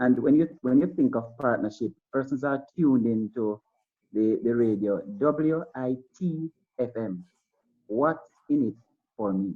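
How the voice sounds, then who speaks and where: With a Jamaican accent, the speaker goes at a fairly slow pace with long, frequent pauses and ordinary pitch variation. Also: man, medium pitch for a man. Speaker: school principal or educator on a panel. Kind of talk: panel discussion. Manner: halting with frequent repetitions.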